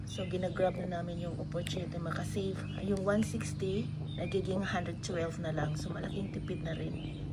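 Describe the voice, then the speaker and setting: A woman speaks at a moderate pace. Loud background noise runs underneath her. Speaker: home vlogger. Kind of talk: casual vlog chat. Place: garage. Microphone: phone near.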